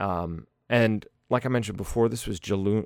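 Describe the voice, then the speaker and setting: A man speaks with an American accent and fairly even intonation, his voice dry and close with no echo on a very clean recording over a silent background. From US, Pittsburgh. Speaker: podcast host. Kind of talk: casual solo podcast monologue.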